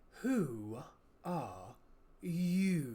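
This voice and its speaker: A put-on character voice in a low-to-middle pitch, with very wide pitch swings. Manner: slow, drowsy, unhurried.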